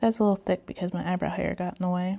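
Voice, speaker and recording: A woman speaks in a soft-spoken way. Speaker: face painter. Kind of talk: tutorial.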